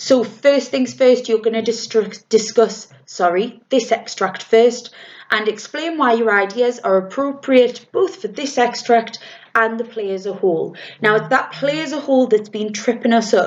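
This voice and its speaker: A fairly high-pitched woman's voice with a British accent. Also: ordinary pitch variation, moderate pace. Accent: RP. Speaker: drama teacher. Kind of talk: tutorial. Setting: recorded lesson video. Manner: casual, with fillers.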